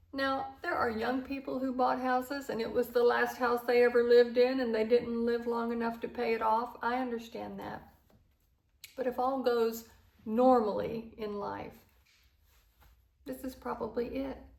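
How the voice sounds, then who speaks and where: A woman speaks at a moderate pace in a high, monotone, flat voice. Her long pauses come often. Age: 60s. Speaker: lifestyle vlogger. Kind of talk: casual monologue to camera. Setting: at home, in a new house. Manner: relaxed, with many fillers. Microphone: microphone still covered, echo in empty house.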